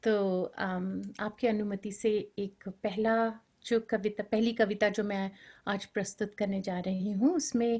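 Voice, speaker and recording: A woman with a fairly high pitch and a somewhat breathy voice is heard on a very clean recording with a silent background. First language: Bengali (speaking Hindi). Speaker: poet. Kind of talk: poetry reading. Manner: rhythmic.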